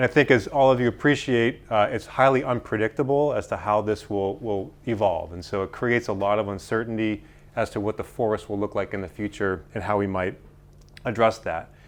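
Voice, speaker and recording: Using an American accent, a man talks at a fairly quick pace in a fairly low voice with ordinary pitch variation. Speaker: forest scientist. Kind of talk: lecture. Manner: fast.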